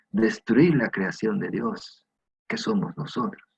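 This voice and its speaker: With vocal fry and very wide pitch swings, a man speaks at a fairly high pitch and a fairly slow pace. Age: 60s. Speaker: preacher. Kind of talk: sermon.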